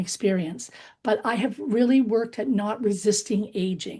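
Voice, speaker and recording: A woman speaks at a moderate pace in a dark, mellow, somewhat breathy tone. Her pitch sits fairly high and her intonation stays fairly even. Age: 60s. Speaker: book group participant. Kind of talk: casual group discussion.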